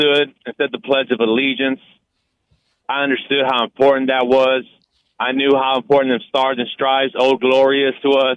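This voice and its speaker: The man's intonation stays monotone and flat. He keeps to a moderate pace. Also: medium pitch for a man. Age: 40s. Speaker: caller. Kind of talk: call-in opinion. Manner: halting.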